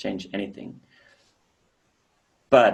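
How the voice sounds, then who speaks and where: A man talks with a German accent. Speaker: professional drummer. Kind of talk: interview answers. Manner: halting.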